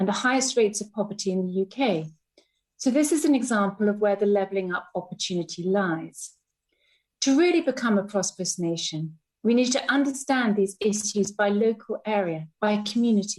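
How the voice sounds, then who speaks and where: Speaking at a fairly quick pace, a woman with a medium pitch sounds somewhat breathy, her intonation lively. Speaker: Legatum Institute CEO and member of the House of Lords. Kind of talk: parliamentary speech. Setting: legislative chamber.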